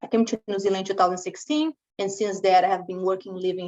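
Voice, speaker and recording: At a very fast pace, a woman of medium pitch speaks with a Brazilian Portuguese accent, the sound dry and close with no echo. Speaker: cybersecurity consultant. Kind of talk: webinar presentation. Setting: online webinar. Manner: conversational.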